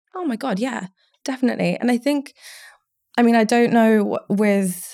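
Dark, mellow tone with an Essex accent, fairly quick pace and ordinary pitch variation on a very clean recording with a silent background. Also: woman. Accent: southern English (Essex). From Essex, England (Romania until age seven). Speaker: recruitment business owner. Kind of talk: casual interview.

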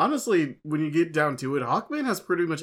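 A man talks at a moderate pace, the recording very clean and the background silent. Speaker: comic book podcast co-host. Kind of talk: casual banter podcast chat. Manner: excitable, stumbling over words.

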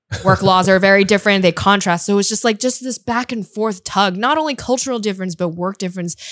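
With an American accent, a woman talks at a very fast pace with hardly any pauses over noticeable background noise. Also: medium pitch for a woman, ordinary pitch variation. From US, San Francisco Bay Area. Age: 20s. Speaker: basketball commentator and sports agent. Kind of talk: casual chat.

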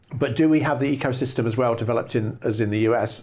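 Over a quiet background, a man speaks with a southern English accent. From southern England, West Sussex. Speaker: plant scientist, research institute director. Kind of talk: interview. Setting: in person at his laboratory. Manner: hesitant, many fillers.

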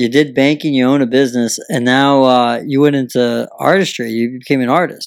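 A man's medium-pitched, plain, everyday voice, fairly quick and fairly even in intonation, with hardly any pauses. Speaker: podcast host. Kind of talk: casual interview. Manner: jokey.

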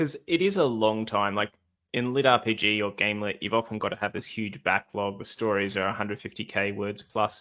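An Australian accent at a moderate pace with fairly even intonation. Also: man, fairly low pitch for a man. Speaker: podcast host. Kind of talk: interview. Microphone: bad internet connection, glitches.

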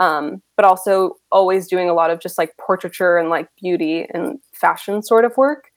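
A woman with an American accent speaks in an unremarkable speaking voice at medium pitch, with ordinary pitch variation, a moderate pace and hardly any pauses. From Rochester, New York, US. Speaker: photographer. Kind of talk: interview.

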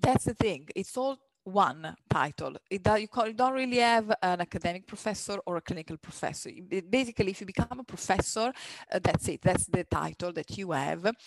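This voice carries an Italian accent. It moves at a fairly quick pace. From Italy, near Milan. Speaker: radiologist. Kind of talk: casual interview.

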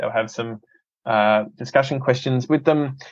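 Here a man talks with an Australian accent. His pitch is medium and his pace fairly quick. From Australia, Adelaide. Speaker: filmmaker and ministry entrepreneur. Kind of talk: casual interview.

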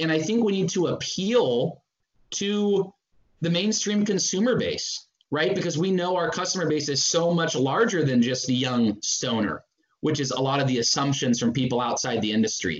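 A man speaks at a moderate pace, his pitch fairly high for a man. His pitch swings very widely. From Northern California. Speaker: advertising agency co-founder. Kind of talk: interview.

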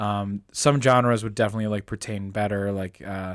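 The recording is very clean, with a silent background. It carries a normal speaking voice with an American accent and ordinary pitch variation. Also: man. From Indiana, Pennsylvania (western Pennsylvania). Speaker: podcast co-host. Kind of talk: casual chat.

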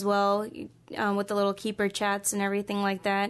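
The speaker has an American accent, heard against a quiet background. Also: woman. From US East Coast. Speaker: zookeeper. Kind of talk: casual interview.

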